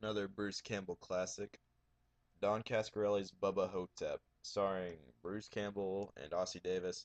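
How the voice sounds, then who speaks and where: A man speaks at a moderate pace in a fairly low, monotone voice with flat intonation, recorded dry and close with no echo. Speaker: horror movie collector vlogger. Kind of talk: casual collection video. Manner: even tone. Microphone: recording too quiet, new software.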